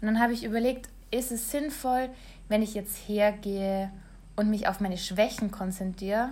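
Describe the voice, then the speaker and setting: A woman speaks at a fairly high pitch and a moderate pace. Her voice is somewhat breathy. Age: 20s. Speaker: online marketer and blogger. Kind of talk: solo podcast monologue.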